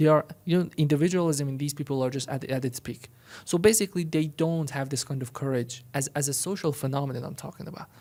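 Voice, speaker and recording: A man's fairly high, somewhat breathy voice with a dark, mellow tone, ordinary pitch variation and a very fast pace. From Iran. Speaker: podcast co-host. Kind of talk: casual political discussion. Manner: animated; halting, with many repetitions.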